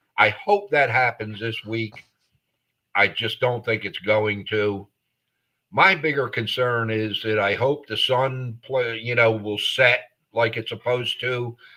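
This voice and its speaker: In a very clean recording with a silent background, a man speaks at medium pitch with an American accent. His pace is fairly slow, his tone bright and sharp, with ordinary pitch variation. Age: 60s. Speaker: sports podcast co-host. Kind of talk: casual chat. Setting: live podcast.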